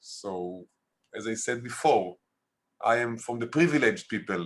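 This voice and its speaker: With an Israeli accent, a man speaks at a fairly slow pace with lively intonation. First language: Hebrew. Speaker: documentary filmmaker. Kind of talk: interview. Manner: halting.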